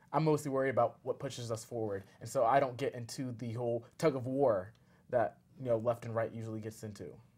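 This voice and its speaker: A man with an American accent, somewhat breathy and fairly even in intonation, at a very fast pace. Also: medium pitch for a man. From US, Northern Virginia. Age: 20s. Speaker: community activist. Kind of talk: interview.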